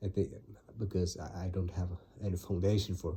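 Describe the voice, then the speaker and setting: A man with a very deep, low pitch speaks in a monotone, flat way, his voice somewhat breathy and his tone dark and mellow. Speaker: vlogger summarizing his reading. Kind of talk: casual monologue. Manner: halting, many fillers and restarts.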